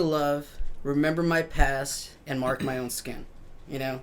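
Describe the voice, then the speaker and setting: Over noticeable background noise, a man with a fairly high pitch talks at a moderate pace in a relaxed tone with fairly even intonation. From Mexico and US, raised bilingual. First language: Spanish. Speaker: musician and tattoo artist. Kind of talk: casual interview chat. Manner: relaxed, filler-heavy.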